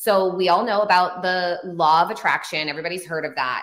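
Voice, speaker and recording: An ordinary speaking voice from a woman with an American accent, fairly low in pitch, at a fairly quick pace. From northern California, Humboldt County. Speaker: spiritual teacher and author. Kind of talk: interview.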